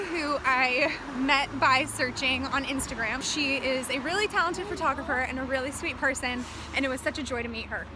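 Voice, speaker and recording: A woman with an American accent speaks in a raised, projected voice at a high pitch, with ordinary pitch variation and a moderate pace. Noticeable background noise and audible room echo are present. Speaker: travel vlogger. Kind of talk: vlog narration. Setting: outdoors on a busy road. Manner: animated; loud.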